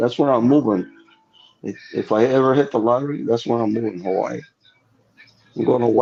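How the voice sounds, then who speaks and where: With music in the background, a man at a medium pitch talks at a fairly quick pace but takes long, frequent pauses. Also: ordinary pitch variation. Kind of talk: casual banter.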